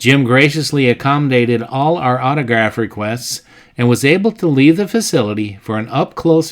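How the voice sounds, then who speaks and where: A man speaks in a normal speaking voice at medium pitch, with lively intonation and a moderate pace. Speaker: channel host narrator. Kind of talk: documentary voice-over narration.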